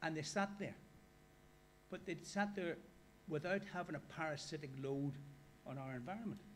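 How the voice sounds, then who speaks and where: A high-pitched man with an Irish accent, ordinary pitch variation, long, frequent pauses and audible room echo. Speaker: workshop speaker. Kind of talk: lecture. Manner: fast.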